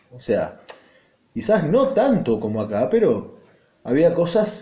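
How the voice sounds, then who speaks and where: A man in an Argentine accent, very wide pitch swings, and audible room echo. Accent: Argentine Spanish (Rioplatense). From Argentina. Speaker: podcaster, rock music commentator. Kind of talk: solo podcast monologue.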